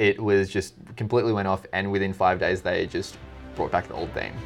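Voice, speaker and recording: A man with an Australian accent at a moderate pace, music playing in the background. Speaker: podcast host. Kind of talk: casual conversational.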